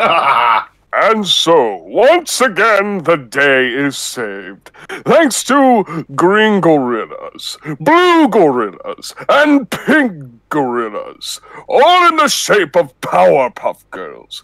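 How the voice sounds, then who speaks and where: This man uses a put-on character voice, high in pitch, at a very slow pace with hardly any pauses. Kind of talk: comic impression. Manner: pompous, announcer-like.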